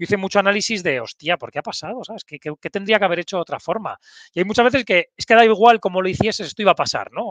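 A man's high voice at a very fast pace, with ordinary pitch variation, a dry sound with no echo and a quiet background. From Pamplona, Navarre, northern Spain; Navarre, Spain. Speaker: human resources executive; interview guest. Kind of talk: casual interview chat. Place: office. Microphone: headset.

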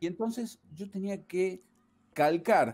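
A man is heard speaking in a dark, mellow tone. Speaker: remote interview guest. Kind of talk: interview answer. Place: home room.

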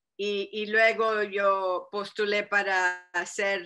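Over a quiet background, a woman speaks in a bright, sharp tone with fairly even intonation. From Arizona. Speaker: state senator. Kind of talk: speech to parents. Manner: halting, many repetitions. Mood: warm, earnest. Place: home room. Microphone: webcam.

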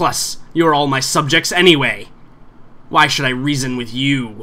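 A put-on character voice comes through at a moderate pace with a hissing quality. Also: man, medium pitch for a man. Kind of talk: fantasy villain acting. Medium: actual play. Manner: haughty, menacing, smugly reasoning.

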